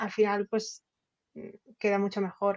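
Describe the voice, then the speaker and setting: A woman speaks with a Catalan accent. Her pitch is fairly high. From Catalonia, Spain. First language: Catalan (speaking Spanish). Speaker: novelist and journalist. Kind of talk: interview. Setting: podcast.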